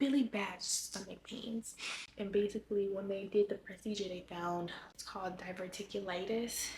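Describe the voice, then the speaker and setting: A woman speaks with an American accent at a fairly slow pace. Her voice sits at a medium pitch and is somewhat breathy. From Los Angeles, California. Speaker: lifestyle vlogger. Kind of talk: personal life update vlog. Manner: halting.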